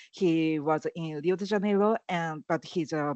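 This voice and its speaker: A woman with a Japanese accent speaks at a fairly slow pace. Her pitch is fairly low, with ordinary pitch variation. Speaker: activist. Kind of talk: panel discussion. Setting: online event. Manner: halting, many fillers.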